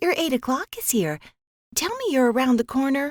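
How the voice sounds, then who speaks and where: Using a put-on character voice, a woman speaks high with very wide pitch swings. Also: moderate pace, dry, close sound with no echo. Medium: read story. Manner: gritted.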